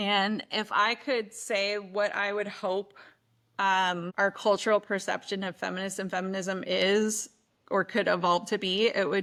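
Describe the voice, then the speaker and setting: A woman speaks in a strong Midwestern accent with a bright, sharp tone and monotone, flat intonation. Her pace is moderate, and the recording is very clean with a silent background. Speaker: oral and maxillofacial surgeon. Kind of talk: podcast interview.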